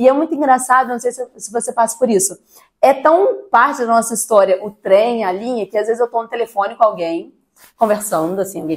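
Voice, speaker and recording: The voice moves along at a fairly quick pace with lively intonation. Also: woman. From Barra Mansa, Rio de Janeiro state interior, Brazil. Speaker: interviewee, local resident. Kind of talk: documentary interview.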